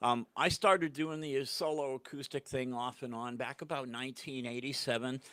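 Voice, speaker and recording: A man with a Boston accent, medium in pitch and bright and sharp in tone, at a moderate pace with hardly any pauses and fairly even intonation, in a very clean recording with a silent background. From New England (Portland, Maine). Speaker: singer-songwriter. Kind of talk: casual interview. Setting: studio. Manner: halting.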